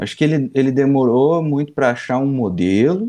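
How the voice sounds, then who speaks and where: A man with a dark, mellow tone at a fairly quick pace against a quiet background. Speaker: football podcast panelist. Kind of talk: casual chat.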